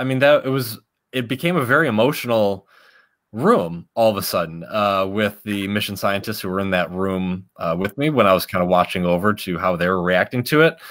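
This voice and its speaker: A man's fairly low voice with an American accent, an unremarkable speaking voice, ordinary pitch variation and a moderate pace. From Chicago. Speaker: science outreach host. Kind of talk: interview. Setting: video call.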